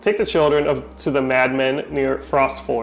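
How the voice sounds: The voice heard is a natural reading voice.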